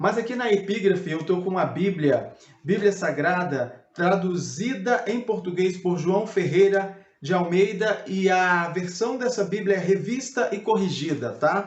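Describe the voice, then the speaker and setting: A fairly slow, high-pitched male voice with ordinary pitch variation. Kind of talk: biblical teaching video.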